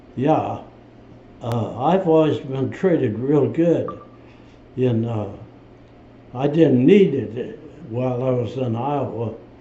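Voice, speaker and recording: In a room with audible echo, a man of medium pitch talks at a very slow pace with long, frequent pauses and ordinary pitch variation. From US Midwest. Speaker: war veteran. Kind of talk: interview. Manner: halting.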